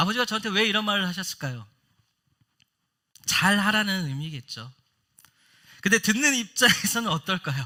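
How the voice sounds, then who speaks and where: A man's raised, projected voice, high in pitch and bright and sharp in tone, at a moderate pace with lively intonation and long, frequent pauses, on a very clean recording with a silent background. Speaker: pastor. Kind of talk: sermon. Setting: church.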